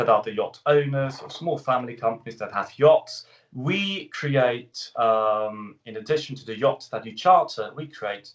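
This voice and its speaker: A man with a British accent talks at a fairly slow pace with hardly any pauses, lively intonation and big swings in loudness. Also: medium pitch for a man. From Switzerland. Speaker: travel company CEO. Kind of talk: radio interview. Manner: hesitant, many fillers.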